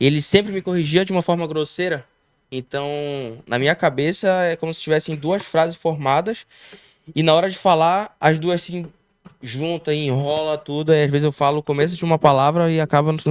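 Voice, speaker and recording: Fairly even in intonation, a man talks at a fairly quick pace in a fairly high pitch. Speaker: entrepreneur, barbershop owner, former breakdancer. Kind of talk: casual podcast interview. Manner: tangles words from a speech block.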